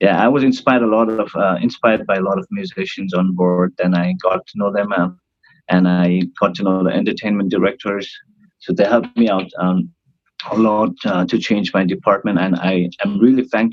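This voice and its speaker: Speaking fairly quickly with a Nepali accent, a man keeps his fairly low voice at a fairly even intonation. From northern India, near Nepal. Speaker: cruise ship band singer. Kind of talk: casual interview. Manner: hesitant, many fillers. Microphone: unstable Wi-Fi connection.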